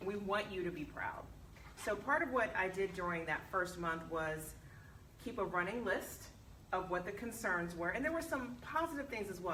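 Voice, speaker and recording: A woman speaks at a moderate pace in a medium pitch with lively intonation. Noticeable background noise and audible room echo are present. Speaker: university vice president. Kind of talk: speech at alumni meeting. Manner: loud.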